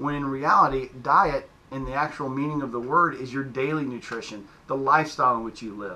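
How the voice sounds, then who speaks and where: In a room with audible echo, a man talks at a fairly quick pace and medium pitch with a bright, sharp tone. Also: ordinary pitch variation, hardly any pauses. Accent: Southern US. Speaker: fitness coach. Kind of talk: casual explainer video. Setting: home gym in basement.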